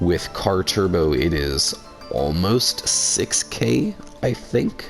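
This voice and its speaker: Over music in the background, a man speaks in a very deep, low pitch. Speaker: card game content creator. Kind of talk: gameplay deck profile commentary.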